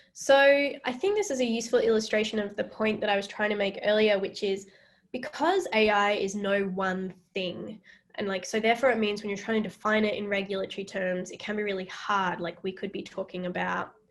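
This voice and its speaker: At a fairly quick pace, a woman talks in an Australian accent with fairly even intonation. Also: medium pitch for a woman. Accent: Australian, mistaken for UK. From Western Australia. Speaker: AI ethics researcher and lecturer. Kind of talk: Q&A after public lecture. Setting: virtual public lecture.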